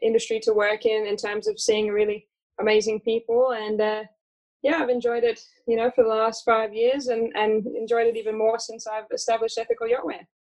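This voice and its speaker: A woman's fairly high voice in an American accent, flat and monotone, at a moderate pace. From Australia. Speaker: business founder and yacht stewardess. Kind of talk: casual interview.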